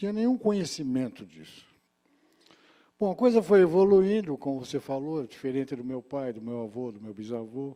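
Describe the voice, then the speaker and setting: His tone dark and mellow, a man speaks at a moderate pace with very wide pitch swings. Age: 70s. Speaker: union director, retired teacher, audience questioner. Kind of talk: audience question at conference. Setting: conference hall with audience.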